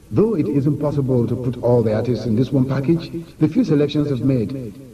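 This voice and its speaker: A man speaks at medium pitch and a fairly quick pace, with ordinary pitch variation and very even loudness, over noticeable background noise. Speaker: radio presenter and producer. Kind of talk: radio programme presentation.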